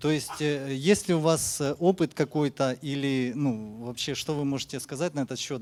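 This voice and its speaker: A man with a Russian accent talks at a fairly quick pace in a fairly high pitch with ordinary pitch variation. The recording is very clean, with a silent background. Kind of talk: audience question. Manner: halting, many hesitations.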